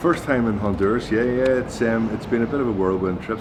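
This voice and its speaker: A man in a Belfast accent at a very fast pace, ordinary pitch variation, audible room echo and noticeable background noise. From Northern Ireland, Belfast. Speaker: cigar importer hospitality head. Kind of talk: interview.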